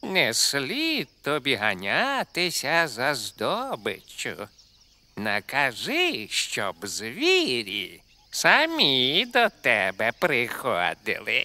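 Using a cartoonish character voice, a man speaks at a very slow pace in a fairly high pitch. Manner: obsequious, flattering.

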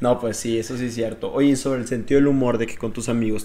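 Very fast, flat, monotone delivery from a man at medium pitch. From Mexico. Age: 20s. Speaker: host's boyfriend. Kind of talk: casual chat. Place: home room. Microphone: handheld.

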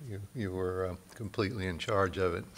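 At a moderate pace, a man speaks with a fairly low pitch and monotone, flat intonation. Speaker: event host introducing keynote speaker. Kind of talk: speaker introduction. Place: hall.

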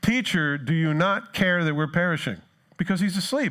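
With an American accent, a man speaks high for a man in an animated tone, using lively intonation at a moderate pace over a quiet background. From New Jersey. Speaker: pastor. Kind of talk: sermon. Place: church.

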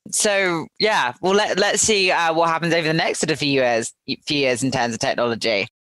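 Her pitch is fairly low, and this woman speaks at a fairly quick pace with very wide pitch swings. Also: very even loudness. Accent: English. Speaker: podcast host and recruiter. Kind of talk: interview.

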